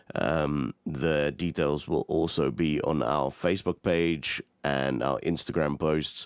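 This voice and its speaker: A man's very deep, low voice with vocal fry, very slow yet with hardly any pauses, fairly even intonation, very even loudness, and a dry, close sound with no echo. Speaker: podcast host. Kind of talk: sponsor read.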